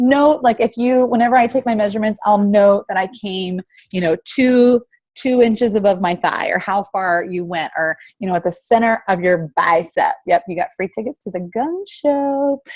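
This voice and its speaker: In a dry, close sound with no echo, a woman with a fairly high pitch talks in an animated tone with lively intonation. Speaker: fitness coach. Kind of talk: tutorial. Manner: fast.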